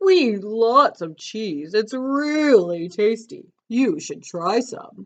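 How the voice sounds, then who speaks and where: In a put-on character voice that sounds female, fairly high in pitch for a woman, the words come at a very slow pace with hardly any pauses. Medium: read story. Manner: friendly, jolly.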